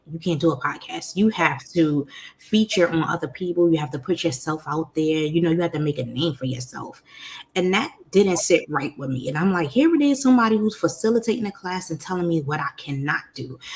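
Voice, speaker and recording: A woman with a New York accent speaks fairly quickly at a fairly low pitch, animated and with lively intonation, over noticeable background noise. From New York, Brooklyn. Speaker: podcast host, life coach. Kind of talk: interview, personal story.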